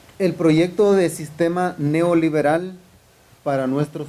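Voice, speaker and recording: Audible room echo surrounds a man's dark, mellow tone. He speaks at a moderate pace. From Honduras. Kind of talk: lecture. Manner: halting, frequent fillers.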